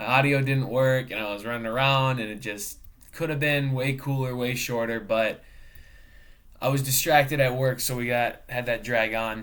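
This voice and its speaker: Audible room echo surrounds a man speaking at a medium pitch and moderate pace with fairly even intonation. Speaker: student and professional cook. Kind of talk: class video presentation. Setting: webcam recording. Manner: casual, filler-heavy.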